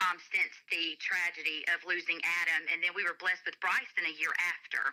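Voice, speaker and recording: With a Southern accent, a woman delivers her words at a fairly quick pace in a fairly low pitch, using monotone, flat intonation and a bright, sharp tone. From US South, Alabama. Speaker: gospel singer and kindergarten teacher. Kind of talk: radio interview.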